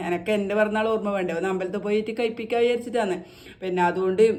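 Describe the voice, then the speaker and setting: Noticeable noise fills the background. Over it, a woman talks at a medium pitch. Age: 40s. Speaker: homemaker vlogger. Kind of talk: casual vlog monologue.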